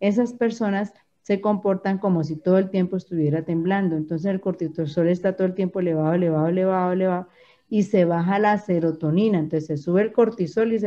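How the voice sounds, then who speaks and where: A woman's dark, mellow, medium-pitched voice at a fairly quick pace, with fairly even intonation and a quiet background. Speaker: doctor. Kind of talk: radio health interview.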